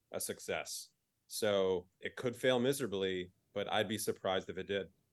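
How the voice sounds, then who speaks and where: An ordinary speaking voice from a man, fairly low in pitch, with ordinary pitch variation, a moderate pace and a quiet background. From New Jersey. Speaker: sports fan guest. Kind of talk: casual chat.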